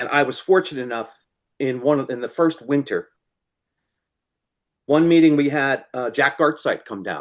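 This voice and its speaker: This man's voice sits fairly high, with ordinary pitch variation. He moves at a moderate pace but takes long, frequent pauses. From US Northeast, New Jersey. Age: 60s. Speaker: fly-tying materials supplier. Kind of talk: interview.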